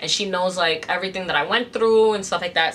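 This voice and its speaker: A woman with an American accent and fairly even intonation, over light background noise. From New York City. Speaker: influencer and business owner; influencer. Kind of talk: casual vlog Q&A. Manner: casual, filler-heavy. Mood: calm, reflective, personal. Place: home room.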